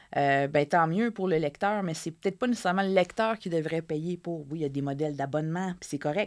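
Recorded very cleanly against a silent background, a woman speaks at a moderate pace with lively intonation. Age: 30s. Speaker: journalist and author. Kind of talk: interview.

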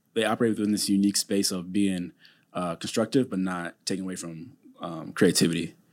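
A man speaks at a fairly quick pace with an American accent, in an ordinary speaking voice pitched fairly low. The recording is very clean, with a silent background. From Minnesota, Saint Paul. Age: 30s. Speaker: franchise business owner. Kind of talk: interview.

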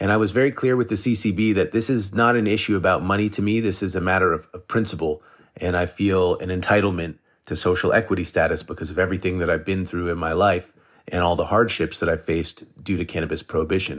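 On a very clean recording with a silent background, a man with an American accent and a very deep, low pitch talks very fast with fairly even intonation. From Massachusetts, suburbs west of Boston. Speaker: cannabis farmer and breeder. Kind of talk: interview conversation.

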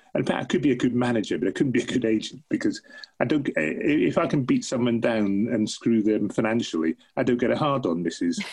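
A man speaks at a fairly quick pace in a medium-pitched voice, with lively intonation, vocal fry, and very even loudness. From Aberdeen, Scotland. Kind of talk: casual interview chat. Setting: video call. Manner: jokey, wry.

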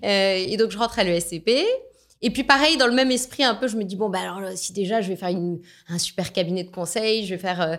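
Animated in tone, a woman talks at a fairly quick pace and medium pitch with ordinary pitch variation, on a very clean recording with a silent background. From France. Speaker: business executive. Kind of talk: interview.

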